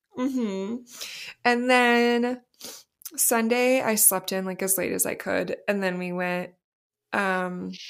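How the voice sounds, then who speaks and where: In a very clean recording with a silent background, a woman talks at a fairly slow pace, her medium pitch showing ordinary variation. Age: 30s. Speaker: podcast co-host, night shift worker. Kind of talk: casual chat.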